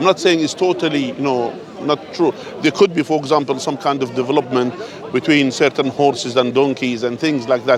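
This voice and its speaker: With crowd noise behind him, a man speaks fairly quickly at a fairly high pitch with ordinary pitch variation. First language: not English. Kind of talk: street debate. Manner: animated, interrupting.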